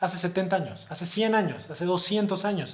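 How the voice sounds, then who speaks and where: There is audible room echo as a man talks with a high pitch. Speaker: high school teacher. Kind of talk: lecture. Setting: recorded video for virtual conference. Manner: fast.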